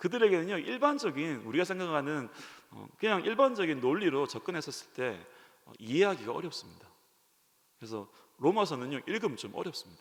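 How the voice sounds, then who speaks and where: Talking at a fairly quick pace, a man with a high pitch makes very wide pitch swings and big swings in loudness. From Korea, Ulsan, rural. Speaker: pastor. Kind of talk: sermon.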